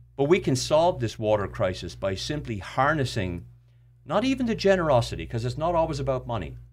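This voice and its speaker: A man talks at a fairly quick pace. He speaks with an Irish accent. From Ireland. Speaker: charity founder. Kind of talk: casual chat. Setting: studio.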